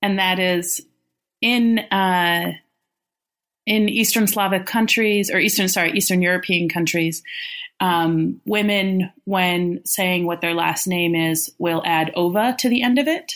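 An ordinary speaking voice at a fairly slow pace, with ordinary pitch variation, very even loudness, and a very clean recording with a silent background. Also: woman, medium pitch for a woman. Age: 30s. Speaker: litigant. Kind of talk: casual chat.

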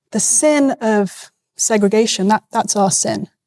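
A woman with a British accent speaks at a fairly high pitch with ordinary pitch variation, and the sound is dry and close with no echo. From UK. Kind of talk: debate.

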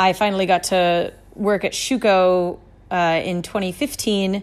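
In a plain, everyday voice, a woman talks at a fairly slow pace with medium pitch and fairly even intonation, recorded very cleanly against a silent background. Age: 30s. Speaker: chef. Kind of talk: casual chat.

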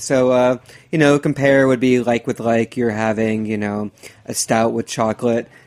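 An ordinary speaking voice from a man with an American accent, medium pitch, fairly even intonation and a moderate pace, in a dry, close sound with no echo. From US Midwest, Dayton, Ohio. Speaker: beer writer. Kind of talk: casual chat. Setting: studio.

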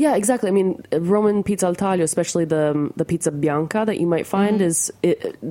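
With an American accent, a woman speaks at a very fast pace. Her fairly low voice has a dark, mellow tone and ordinary pitch variation. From New Jersey, US. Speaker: food journalist. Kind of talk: casual interview. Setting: radio studio.

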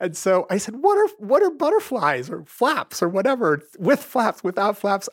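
The speech runs at a moderate pace with hardly any pauses and very wide pitch swings. The sound is dry and close, with no echo. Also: man, high pitch for a man. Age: 50s. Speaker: parent. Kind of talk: interview.

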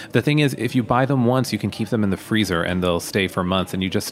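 A man talks fairly quickly with ordinary pitch variation, and noticeable background noise sits behind him. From Pennsylvania, US. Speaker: screenwriter and cookbook author. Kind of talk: interview. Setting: studio.

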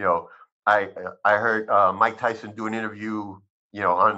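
At a moderate pace against a quiet background, a man talks with a fairly low pitch and a bright, sharp tone. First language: Spanish. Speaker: cannabis physician. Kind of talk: interview. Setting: video call.

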